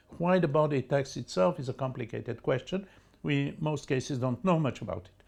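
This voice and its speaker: The man's voice is somewhat breathy and fairly high, moving at a fairly quick pace. His intonation is lively, and his loudness swings widely. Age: 80s+. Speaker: cannabis research scientist. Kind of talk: interview answer.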